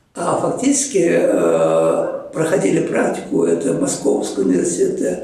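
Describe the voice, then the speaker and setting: Talking fairly slowly, a man is heard with audible room echo around him and noticeable noise in the background. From Chuvashia, Russia. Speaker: marine geologist, professor. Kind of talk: interview reminiscence. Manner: halting, with frequent fillers.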